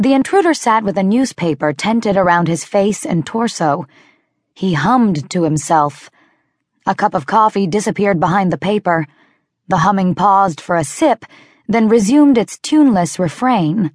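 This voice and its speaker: With lively intonation and an animated tone, a woman talks at a moderate pace and medium pitch, her loudness very even and the sound dry and close with no echo. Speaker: audiobook narrator. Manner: animated and wry, comic self-mockery that builds to hushed, tense dread.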